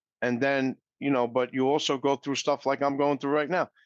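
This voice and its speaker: Talking at a very fast pace, a man with a New York accent has a fairly high pitch. The background is quiet, and the sound is dry and close with no echo. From New York City. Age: 60s. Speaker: recovery speaker, mortgage professional. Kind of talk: interview.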